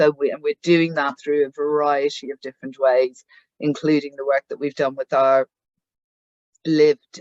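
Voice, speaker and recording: The speaker has a Northern Irish accent and talks at a moderate pace. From Northern Ireland. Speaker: head of a patient charity. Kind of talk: meeting presentation. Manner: halting, many fillers and repeats.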